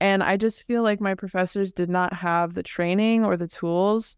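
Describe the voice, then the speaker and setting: A woman with an American accent speaks in a normal speaking voice at medium pitch with ordinary pitch variation, the sound dry and close with no echo over a quiet background. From California, Bay Area. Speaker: illustrator. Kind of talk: interview.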